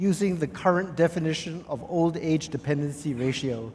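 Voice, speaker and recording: A man talks at a moderate pace. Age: 60s. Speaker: professor, public health expert. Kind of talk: panel discussion.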